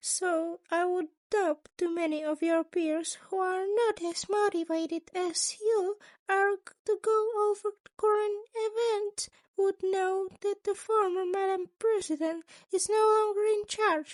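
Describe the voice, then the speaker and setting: A woman uses a put-on character voice that is squeaky and extremely high in pitch. She speaks at a fairly slow pace. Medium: read story. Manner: polite, formal, long-winded.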